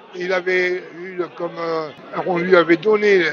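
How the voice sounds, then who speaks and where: A man's high-pitched voice at a fairly slow pace amid noticeable background noise. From France, Chauffailles area (Burgundy). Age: 70s. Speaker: son of a resistance fighter. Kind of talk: testimony. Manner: halting.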